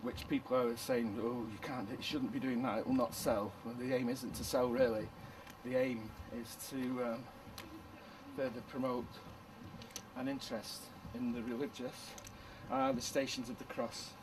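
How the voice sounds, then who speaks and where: A man at medium pitch with a Manchester accent, flat monotone intonation, a moderate pace, long and frequent pauses, audible room echo and noticeable background noise. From northern England, Manchester. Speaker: retired teacher turned artist. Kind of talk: documentary interview. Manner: halting.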